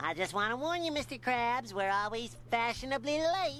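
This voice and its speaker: A man does a cartoonish character voice at an extremely high pitch. He keeps a moderate pace and very even loudness over clear background noise. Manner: bright, energetic.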